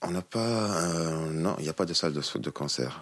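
Very deep and low, a man's voice comes through in a Tunisian accent. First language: Tunisian Arabic (speaking French). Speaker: musician. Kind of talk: interview. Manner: halting.

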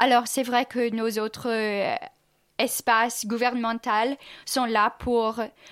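A woman's fairly high, flat, monotone voice at a very slow pace, on a very clean recording with a silent background. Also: long, frequent pauses. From US Midwest, Kansas City, Missouri. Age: 20s. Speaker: exchange student. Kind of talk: radio interview.

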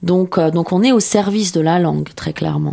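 Against noticeable background noise, a woman with a fairly low pitch speaks at a fairly quick pace. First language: Persian (speaking French). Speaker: novelist. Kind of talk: radio interview. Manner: halting, filler words.

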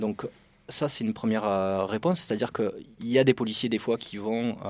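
On a very clean recording with a silent background, a man with a southern French accent speaks at a moderate pace, his medium pitch showing ordinary variation. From southern France, Carcassonne. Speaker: police officer. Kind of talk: interview.

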